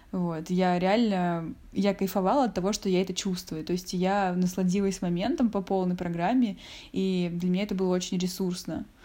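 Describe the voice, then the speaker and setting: A woman speaks at a medium pitch with a dark, mellow tone. Her loudness stays very even on a very clean recording with a silent background. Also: fairly even intonation, moderate pace. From Russia, Saint Petersburg. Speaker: interviewee sharing a personal story. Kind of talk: personal storytelling.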